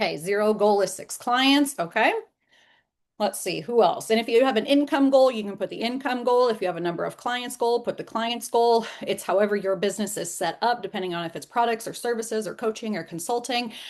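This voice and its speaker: A woman's fairly high voice at a fairly quick pace, with ordinary pitch variation over a quiet background. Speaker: sales coach. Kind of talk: live online training. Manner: fast; animated.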